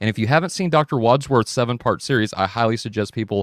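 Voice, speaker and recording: A man's medium-pitched voice at a fairly quick pace, with a dry, close sound, no echo, and a very clean recording against a silent background. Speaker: podcast host. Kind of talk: show introduction. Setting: live stream. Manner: fast.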